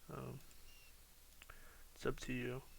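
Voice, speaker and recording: A man with a bright, sharp, tired tone speaks in monotone, flat intonation amid audible room echo. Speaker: architecture student making software tutorials. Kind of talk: tutorial. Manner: sounds tired, low energy; hesitant, many fillers.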